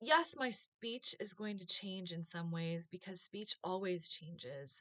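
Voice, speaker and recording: A bright, sharp voice with an American accent, fairly slow and with lively intonation, in a dry, close sound with no echo. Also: woman, medium pitch for a woman. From US. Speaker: vlogger, former teacher. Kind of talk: casual vlog monologue.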